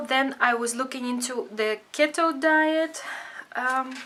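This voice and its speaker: A woman speaks at a very slow pace. Her voice is high-pitched, with ordinary pitch variation. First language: Dutch. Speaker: craft vlogger. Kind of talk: casual tutorial vlog. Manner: hesitant, many fillers.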